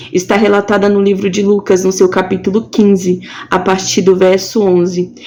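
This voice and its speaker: A woman with a plain, everyday voice at a moderate pace. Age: 20s. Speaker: preacher. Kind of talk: devotional sermon.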